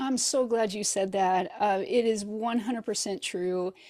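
Recorded very cleanly over a silent background, a woman with a Midwestern American accent speaks in a dark, mellow tone at a fairly high pitch with ordinary pitch variation. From US Midwest, rural northeast Missouri. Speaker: novelist. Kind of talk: interview. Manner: hesitant, many fillers.

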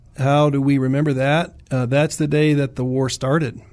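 A man with an American accent speaks at a moderate pace in a medium pitch, using an ordinary speaking voice. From US South (Virginia, Williamsburg area). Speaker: army veteran and orthopedic surgeon. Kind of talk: interview. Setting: studio.

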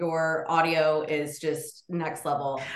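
Here we hear a female speaker. Background noise is clearly audible behind her. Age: 40s. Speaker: podcast co-host. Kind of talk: casual chat. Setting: video call.

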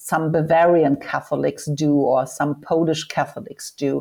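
A woman speaks with a German accent. Her pitch is fairly low and her pace very slow. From northern Germany. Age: 50s. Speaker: sexologist and foundation head. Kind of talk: interview.

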